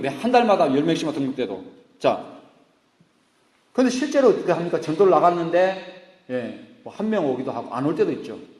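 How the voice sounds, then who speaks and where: High-pitched, with very wide pitch swings, a man speaks amid audible room echo. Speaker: pastor. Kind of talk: sermon. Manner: animated.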